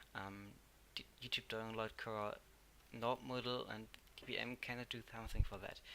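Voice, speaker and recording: Bright and sharp in tone, a man speaks at a moderate pace with long, frequent pauses. His intonation is fairly even, while his loudness swings widely. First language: German. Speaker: tech tutorial youtuber. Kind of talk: tutorial. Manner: halting.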